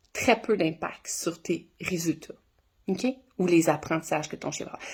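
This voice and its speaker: At a moderate pace, a woman speaks in an animated tone at medium pitch. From Ontario, Canada (Franco-Ontarian). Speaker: dog trainer. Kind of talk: casual explainer video.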